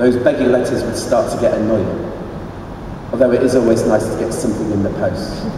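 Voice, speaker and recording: Strong room echo and noticeable background noise surround a man with a British accent who talks at a fairly quick pace in a monotone, flat delivery. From England. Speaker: spoken word poet. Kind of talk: poetry reading at live comedy literary night. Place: stage. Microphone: camera far.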